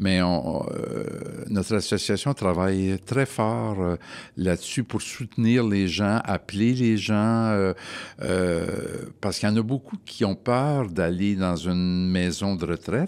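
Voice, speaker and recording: Over a silent background in a very clean recording, a man talks at a very slow pace with a fairly low pitch, ordinary pitch variation, and very even loudness. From Montreal, Quebec. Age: 70s. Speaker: retired HR worker and travel guide. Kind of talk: casual chat. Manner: hesitant, many fillers.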